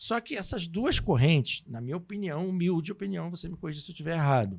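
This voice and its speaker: Recorded very cleanly against a silent background, a man talks at a fairly quick pace in a fairly high voice that swings very widely in pitch. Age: 50s. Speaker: podcast host. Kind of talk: interview.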